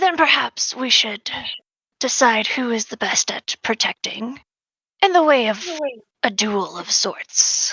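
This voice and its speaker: This female-sounding voice is a put-on character voice, high in pitch, broken up by long, frequent pauses. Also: fairly slow pace. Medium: actual play. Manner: measured, formal.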